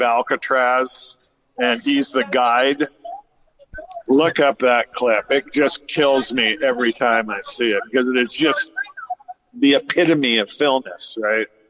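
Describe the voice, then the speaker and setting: A man with a Californian accent, at a very slow pace with long, frequent pauses. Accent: Californian American. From Southern California. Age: 60s. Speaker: cannabis grower and actor's brother. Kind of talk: interview. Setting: cannabis lounge radio studio. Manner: halting, many fillers.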